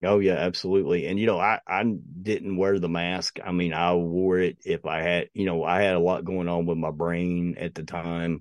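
A man with an Appalachian accent speaks in a very deep, low voice with monotone, flat intonation. He keeps a moderate pace with hardly any pauses. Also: quiet background. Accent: Appalachian Southern US. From US South, East Tennessee. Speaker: podcaster. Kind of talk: casual chat.

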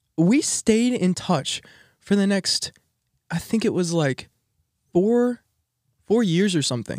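A man with an American accent and a high pitch, energetic in tone and lively in intonation, at a fairly slow pace with long, frequent pauses, in a dry, close sound with no echo. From Texas. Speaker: college student podcast co-host. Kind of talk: casual chat.

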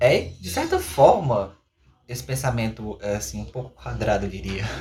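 A man has a plain, everyday voice at a medium pitch. He speaks at a fairly slow pace. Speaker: podcast host, university student. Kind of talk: educational podcast discussion.

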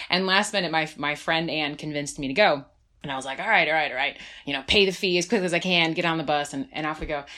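Very fast female speech in a very deep, low pitch with an American accent, ordinary pitch variation and a very clean recording with a silent background. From New Jersey. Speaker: nonprofit development director. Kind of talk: casual interview.

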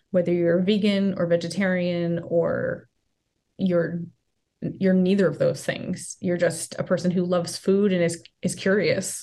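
Using a plain, everyday voice, a woman with an American accent speaks at a medium pitch and a fairly slow pace with fairly even intonation. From US Northeast, rural northern Rhode Island. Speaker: vegan festival organizer. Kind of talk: interview.

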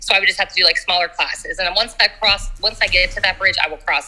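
A woman talks at a very fast pace while noticeable background noise is heard. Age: 40s. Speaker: dance instructor. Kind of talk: casual interview. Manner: animated; loud.

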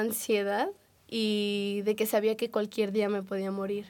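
Speaking at a fairly slow pace in a monotone, flat intonation, a woman's fairly high voice comes through on a very clean recording with a silent background. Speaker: podcast host. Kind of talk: casual chat.

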